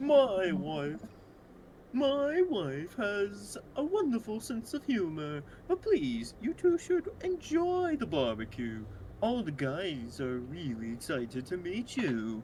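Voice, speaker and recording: Someone doing a put-on character voice speaks at a middle pitch and fairly slow pace, with clear background noise. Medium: game stream.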